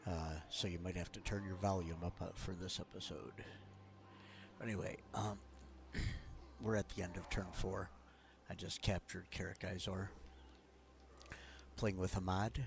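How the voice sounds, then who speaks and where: Soft-spoken and very deep, a man with vocal fry talks at a moderate pace with fairly even intonation and long, frequent pauses. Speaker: gaming streamer. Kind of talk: gameplay commentary. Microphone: quiet, may need volume up.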